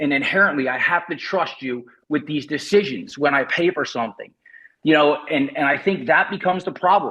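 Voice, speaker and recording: Loud and fairly high-pitched, a man talks at a fairly quick pace with ordinary pitch variation. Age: 50s. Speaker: retired cyclist, association member, military veteran. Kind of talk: public comment at online meeting. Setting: video call.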